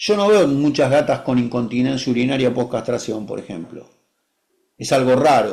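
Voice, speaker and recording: The man's pitch swings very widely. He talks fairly slowly. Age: 60s. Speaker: veterinarian. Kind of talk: webinar discussion.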